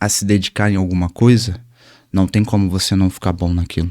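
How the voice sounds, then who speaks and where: A soft-spoken man is heard on a very clean recording with a silent background. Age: 20s. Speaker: Muay Thai instructor. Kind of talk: interview. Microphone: mic raised because he speaks quietly.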